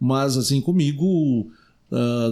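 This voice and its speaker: A man speaks with an unremarkable speaking voice at a fairly high pitch and ordinary pitch variation. The recording is very clean, with a silent background. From southern Brazil, Rio Grande do Sul. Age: 60s. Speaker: city councillor and radio broadcaster. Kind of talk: podcast interview.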